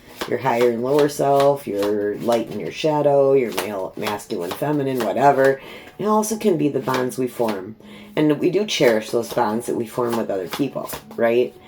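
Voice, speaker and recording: Her voice is very deep and low, with very wide pitch swings, from a woman speaking at a moderate pace. Noticeable background noise runs underneath. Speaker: tarot reader. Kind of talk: tarot reading. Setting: at home. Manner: not soft-spoken.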